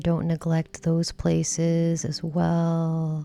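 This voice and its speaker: Soft-spoken and relaxed, a woman with a fairly low voice talks very slowly in a flat, monotone way. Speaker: massage therapist and self-care instructor. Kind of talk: relaxation self-care instruction, ASMR-style demonstration. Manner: soft-spoken, slow, relaxed.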